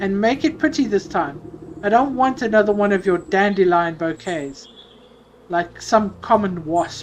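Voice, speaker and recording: A shrill, female-sounding, put-on character voice at medium pitch talks at a moderate pace. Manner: bossy, haughty.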